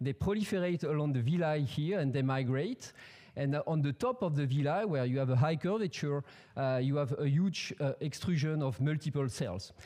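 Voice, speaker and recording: Over a quiet background, a man with a French accent speaks at a moderate pace in a dark, mellow tone with a fairly high pitch, ordinary pitch variation and very even loudness. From France. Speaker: professor. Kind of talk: scientific presentation. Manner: halting, many fillers and repetitions. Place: hall. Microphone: podium.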